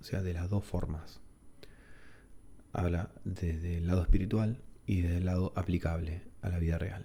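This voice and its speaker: A man speaks in a relaxed tone with a very deep, low pitch. His intonation is monotone and flat, broken by long, frequent pauses. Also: moderate pace. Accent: Argentine. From Argentina. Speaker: ASMR creator. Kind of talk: casual talk to camera, relaxed chat. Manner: soft-spoken, relaxed, reflective.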